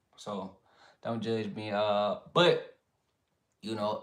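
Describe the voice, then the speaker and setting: With a Southern accent, a man speaks very slowly in a relaxed tone, his pitch swinging very widely. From US South. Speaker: sports commentary livestreamer. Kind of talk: casual livestream chat. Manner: relaxed, filler-heavy.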